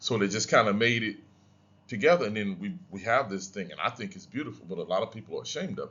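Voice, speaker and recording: Speaking with an American accent, a man talks at a fairly quick pace. His pitch sits in the medium range and varies in an ordinary way. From US Deep South, Louisiana. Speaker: history professor. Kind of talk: lecture. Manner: casual, conversational.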